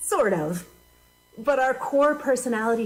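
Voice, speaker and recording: Noticeable background noise sits behind a woman talking at a moderate speed. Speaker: minister. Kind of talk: sermon. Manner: loud; animated.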